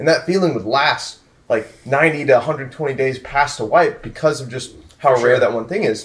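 This man has a plain, everyday voice at a fairly high pitch. He moves at a moderate pace with ordinary pitch variation. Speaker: gaming streamer. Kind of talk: casual group chat.

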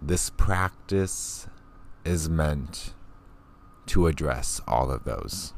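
This man's voice sits very deep and low, with vocal fry and a calm, soothing tone. He talks at a very slow pace, leaving long, frequent pauses, and his pitch varies in an ordinary way. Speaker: podcast host and meditation guide. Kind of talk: guided meditation. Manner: slow, calm, soothing, gentle pacing with long pauses; soft-spoken, warm and reassuring.

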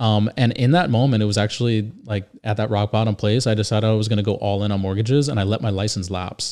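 At a very fast pace, a man with an American accent talks in a fairly low pitch with fairly even intonation. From Northern Virginia, rural. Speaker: podcast co-host, mortgage broker. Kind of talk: casual chat.

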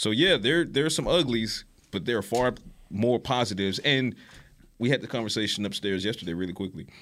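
Over a silent background in a very clean recording, a man with a Southern US accent talks at a fairly quick pace, his medium pitch carrying lively intonation. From US South, Savannah, Georgia. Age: 40s. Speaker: sports show co-host. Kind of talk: casual sports talk.

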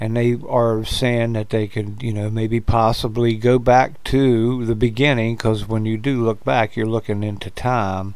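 With an American accent, a man talks at a moderate pace in a medium pitch, his intonation monotone and flat and his delivery with hardly any pauses. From United States. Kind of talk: casual chat.

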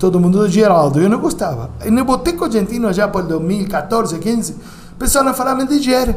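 A man with a Uruguayan accent speaks at a high pitch with lively intonation. Audible room echo and noticeable background noise surround his voice. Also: moderate pace. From Uruguay, Montevideo. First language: Spanish (speaking Portuguese). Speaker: restaurant owner. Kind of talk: interview.

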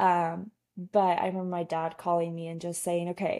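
A woman speaks at medium pitch. Her tone is dark and mellow. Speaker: guest, TikTok creator. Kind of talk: casual chat.

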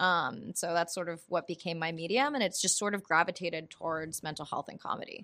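Over a silent background on a very clean recording, a woman with an American accent talks at a fairly quick pace, her fairly low voice bright and sharp in tone. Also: ordinary pitch variation. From US South, North Carolina. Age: 30s. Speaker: comedian and actor. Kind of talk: casual chat.

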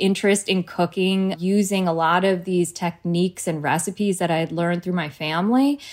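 A woman with an American accent has a normal speaking voice, medium pitch and ordinary pitch variation. The recording is very clean, with a silent background. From New Jersey, US. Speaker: cookbook author and food brand founder. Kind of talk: casual interview chat.

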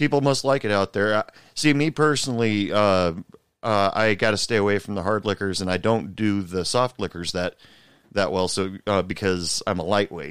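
Recorded very cleanly and dry, up close with no echo and a silent background, a man speaks at a moderate pace. He has a normal speaking voice, a fairly low pitch and an American accent. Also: ordinary pitch variation. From Portland, Oregon. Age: 40s. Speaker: podcast host. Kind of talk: casual chat; scripted narration.

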